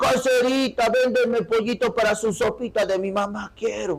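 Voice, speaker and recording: Putting on a character voice, a man speaks at a moderate pace with an extremely high pitch. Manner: rural phrasing and intonation.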